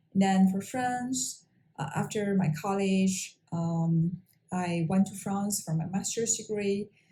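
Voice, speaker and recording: A woman with a Mongolian accent speaks at a very slow pace with fairly even intonation. Her dark, mellow tone is somewhat breathy. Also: medium pitch for a woman. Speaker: engineer and language-learning vlogger. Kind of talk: personal talk to camera. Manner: halting, many fillers.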